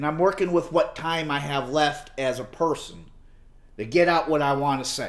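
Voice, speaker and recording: At a moderate pace, a man with a fairly high voice talks with ordinary pitch variation. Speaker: political video blogger. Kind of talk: casual vlog monologue. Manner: halting, improvised.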